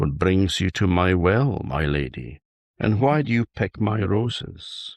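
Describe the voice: A put-on character voice, soft-spoken. The pace is fairly slow. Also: man, very deep, low pitch for a man.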